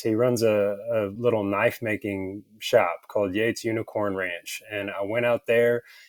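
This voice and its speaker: A man with an American accent, medium pitch and moderate pace, on a very clean recording with a silent background. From Texas, Texarkana. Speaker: leatherworker, small business owner. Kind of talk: casual interview.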